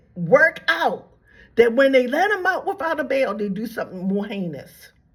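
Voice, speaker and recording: A woman speaks with a somewhat breathy voice and very wide pitch swings. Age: 70s. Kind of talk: religious commentary monologue. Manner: repetitive, halting restarts.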